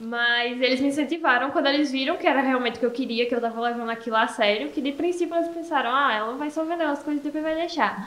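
In a Paraíba accent, a woman with a high voice talks at a fairly quick pace with ordinary pitch variation, and room echo is audible. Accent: northeastern Brazilian Portuguese (Paraíba). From Brazil, Paraíba (Esperança). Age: 20s. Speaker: entrepreneur, makeup shop owner. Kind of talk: casual interview.

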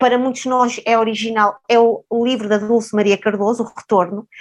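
A woman speaks in a normal speaking voice with a fairly high pitch. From Mozambique (Maputo), then Portugal. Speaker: sociologist and professor. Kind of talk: interview conversation.

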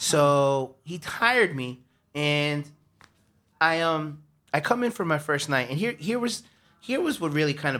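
A man with a New York accent speaks at a moderate pace and a fairly high pitch. His tone is bright and sharp, and the recording is very clean with a silent background. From New York, Harlem. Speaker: bartender. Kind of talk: casual chat. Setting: studio.

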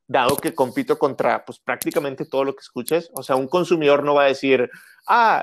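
Recorded very cleanly over a silent background, a man talks at a fairly quick pace with fairly high pitch. The sound is dry and close, with no echo. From northern Mexico, Monterrey. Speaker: musician. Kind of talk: casual interview.

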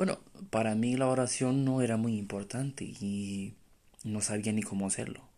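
A man's voice has a dark, mellow tone and fairly low pitch. He speaks at a moderate pace with fairly even intonation. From Romania. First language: Romanian (speaking Spanish). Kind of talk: testimony. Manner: halting.

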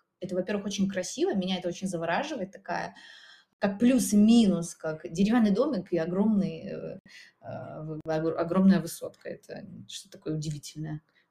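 Her loudness swinging widely, a woman speaks at a moderate pace and medium pitch with ordinary pitch variation. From Belarus, Minsk region. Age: 30s. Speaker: photographer and artist. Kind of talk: casual chat. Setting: in an apartment. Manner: halting.

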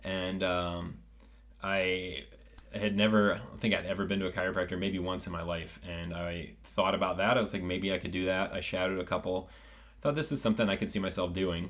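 In a Midwestern American accent, a man with a very deep, low pitch talks at a fairly quick pace with ordinary pitch variation, and audible room echo surrounds his voice. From US Midwest (rural Ohio). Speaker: chiropractor. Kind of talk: casual interview.

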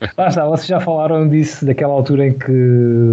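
Amid noticeable background noise, a man talks at a moderate pace with fairly even intonation. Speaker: football podcast co-host. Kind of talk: casual chat.

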